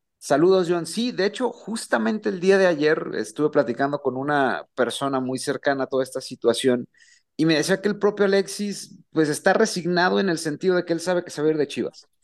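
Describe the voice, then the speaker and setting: A man's high-pitched voice at a fairly quick pace over a quiet background. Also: lively intonation. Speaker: club beat reporter. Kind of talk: radio sports report.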